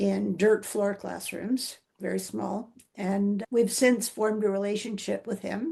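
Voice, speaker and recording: With a Canadian accent, a woman speaks at a moderate pace in a medium pitch, her dark, mellow tone flat and monotone with vocal fry. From Vancouver, Canada. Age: 70s. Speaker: retired teacher and principal, trekker, author. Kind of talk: interview answer.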